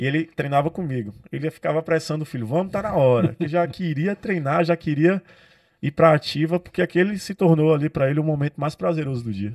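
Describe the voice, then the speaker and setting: An unremarkable speaking voice from a man, fairly high-pitched, with ordinary pitch variation and a fairly quick pace, recorded very cleanly against a silent background with a dry, close sound and no echo. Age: 20s. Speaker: personal trainer and nutritionist. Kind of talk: interview conversation. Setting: podcast studio.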